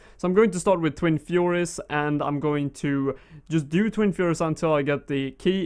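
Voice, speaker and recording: A man's fairly high voice with a Swedish accent, fairly quick and with ordinary pitch variation, against a quiet background. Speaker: gaming YouTuber. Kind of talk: gameplay commentary. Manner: casual, with frequent fillers.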